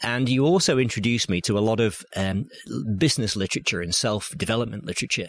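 A man with a Yorkshire accent speaks at a fairly quick pace and a fairly low pitch, with ordinary pitch variation. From Yorkshire, northern England. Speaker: business storytelling coach. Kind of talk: interview. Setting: bookshop.

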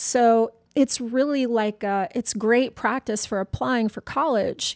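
A woman with an unremarkable speaking voice talks at a fairly slow pace. Her pitch is fairly high and her intonation fairly even. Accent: American. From US South. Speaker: personal trainer. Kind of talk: casual interview.

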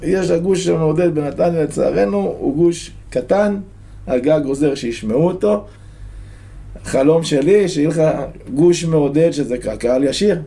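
With audible room echo and noticeable background noise, a man talks at a very slow pace with long, frequent pauses, very even loudness, lively intonation and a fairly high pitch. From Israel, a moshav near Netanya. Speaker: football supporter, stand chant leader. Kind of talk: casual interview. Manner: animated.

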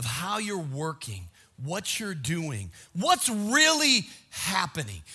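Raised and projected, a man's voice with a bright, sharp tone moves at a very slow pace. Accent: American. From US Midwest (Minnesota). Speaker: pastor. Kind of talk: sermon.

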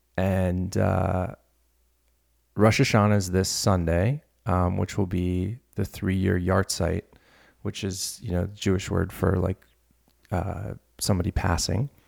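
A man with an American accent speaks at a fairly slow pace, leaving long, frequent pauses. His pitch is very deep and low, and the recording is very clean with a silent background. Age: 30s. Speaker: podcast host. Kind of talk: casual monologue. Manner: halting, many repetitions.

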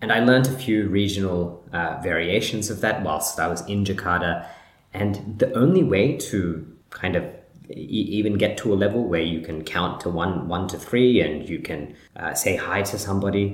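A man talks at a moderate pace, fairly low in pitch and somewhat breathy. His pitch varies in an ordinary way. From Sri Lanka. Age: 20s. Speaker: podcast host. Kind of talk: solo monologue podcast. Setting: recorded while in Sri Lanka. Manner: reflective, conversational.

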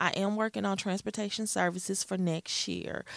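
A woman with a Southern US accent, medium pitch and fairly even intonation, on a very clean recording with a silent background. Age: 40s. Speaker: preschool program director. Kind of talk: radio interview. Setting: studio.

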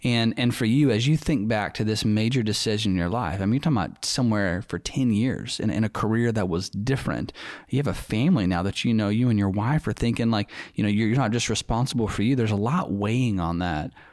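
Speech comes at a very fast pace with ordinary pitch variation and very even loudness on a very clean recording with a silent background. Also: man, fairly low pitch for a man. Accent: Southern US. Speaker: podcast host and church staff member. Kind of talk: casual chat. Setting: studio.

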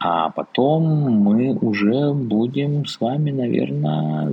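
Noticeable background noise runs behind a man speaking at a medium pitch. His pitch swings very widely. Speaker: podcast host, sinologist. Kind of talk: reading aloud with commentary. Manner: unusual voice for the episode.

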